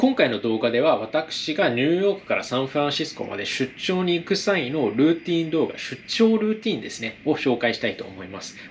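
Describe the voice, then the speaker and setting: Fairly quick and fairly high-pitched, a man speaks with very wide pitch swings over light background noise. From Japan. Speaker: travel vlogger. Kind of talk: vlog narration. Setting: hotel room. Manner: polite formal. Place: home room.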